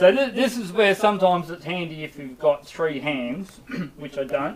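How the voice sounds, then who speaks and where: Mumbling at a moderate pace, a man with a high pitch and lively intonation shows big swings in loudness amid noticeable background noise. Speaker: motorcycle mechanic demonstrating servicing. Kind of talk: live stream tutorial. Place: workshop. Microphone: muffled, far from the microphone.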